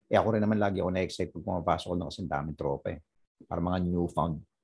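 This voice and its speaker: Talking at a very fast pace, a man with a very deep, low voice uses ordinary pitch variation. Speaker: stand-up comedian. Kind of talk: casual chat. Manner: animated.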